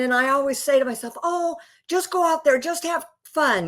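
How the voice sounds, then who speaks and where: A woman speaks at a moderate pace with an American accent. Her pitch is high, and her intonation is lively. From Nebraska, USA. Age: 60s. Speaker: rancher and horse competitor. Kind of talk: interview answer.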